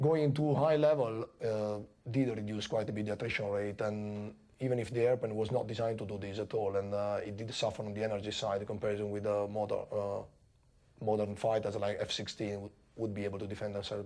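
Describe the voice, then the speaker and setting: Talking very fast, a man with a fairly low pitch and a dark, mellow tone keeps his intonation fairly even. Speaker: Tornado pilot. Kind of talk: interview recollection; interview answer. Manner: halting, with fillers.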